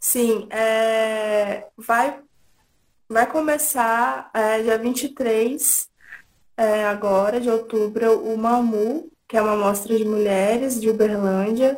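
At a very slow pace, a woman with a fairly high pitch talks with ordinary pitch variation. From interior of São Paulo state, Brazil. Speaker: filmmaker. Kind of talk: interview.

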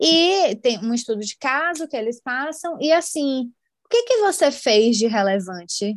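Against a quiet background, a woman talks at a fairly slow pace in a high pitch with very wide pitch swings. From Brazil, Salvador. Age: 20s. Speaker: customer experience analyst. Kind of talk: casual interview chat.

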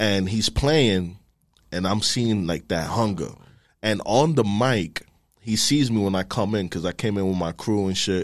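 Heard on a very clean recording with a silent background, a man with a New York accent speaks at a moderate pace in a fairly low voice with ordinary pitch variation. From New York, the Bronx. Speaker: music industry marketing executive. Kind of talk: casual chat.

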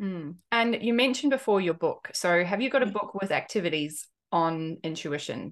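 A woman speaks in a plain, everyday voice at a medium pitch with lively intonation. Her moderate pace has hardly any pauses, and the background is quiet. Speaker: podcast host. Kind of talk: casual interview conversation.

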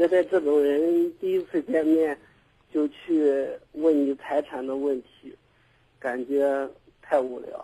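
Very slowly, a man speaks in a fairly high pitch with a dark, mellow tone. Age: 30s. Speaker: caller. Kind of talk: call-in advice talk.

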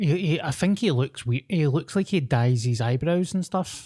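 Dark, mellow tone in a Scottish accent, somewhat breathy, with lively intonation, a moderate pace and a dry, close sound with no echo. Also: man. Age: 30s. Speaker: podcast co-host. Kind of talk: casual chat.

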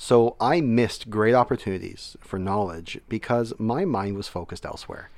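A man with a plain, everyday voice talks at a medium pitch and a moderate pace, with hardly any pauses. His pitch varies in an ordinary way, and the recording is very clean with a silent background. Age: 30s. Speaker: military veteran and educator. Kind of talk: casual interview.

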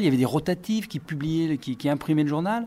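The recording is very clean, with a silent background. The voice has a dark, mellow tone. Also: man. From France, Brive. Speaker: radio journalist and writer. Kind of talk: interview with school pupils. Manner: halting, repeats words.

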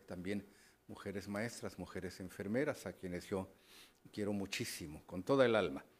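A man with an unremarkable speaking voice talks at a moderate pace. His pitch is fairly low, with ordinary variation. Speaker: radio news host. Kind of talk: radio talk show.

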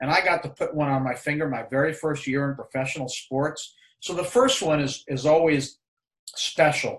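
With an American accent, a somewhat breathy man of fairly high pitch talks at a moderate pace, his pitch varying in an ordinary way. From New York. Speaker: retired sports executive. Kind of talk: interview.

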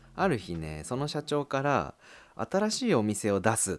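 A man talks at a moderate pace with very wide pitch swings. The sound is dry and close with no echo, on a very clean recording with a silent background. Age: 30s. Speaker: podcast host, office worker. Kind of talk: casual monologue.

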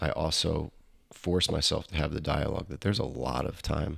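Talking at a moderate pace, a man uses vocal fry with ordinary pitch variation. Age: 30s. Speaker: podcast host, comedian. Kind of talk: casual chat.

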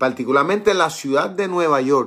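The recording is very clean with a silent background. A man talks in an ordinary speaking voice at a fairly high pitch, with ordinary pitch variation. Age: 50s. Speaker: pastor. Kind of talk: Bible study sermon. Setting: live stream.

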